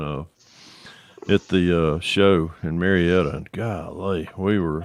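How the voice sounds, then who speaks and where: Here a man speaks with a Northwest Georgia accent. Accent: Northwestern Georgia. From northwestern Georgia. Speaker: scale model builder. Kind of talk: casual chat.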